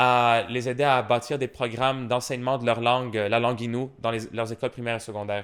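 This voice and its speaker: Medium in pitch, a man speaks in flat, monotone intonation at a fairly quick pace. He leaves hardly any pauses, and the recording is very clean with a silent background. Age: 20s. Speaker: polyglot linguist. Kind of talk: podcast interview. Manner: halting, many fillers and repetitions.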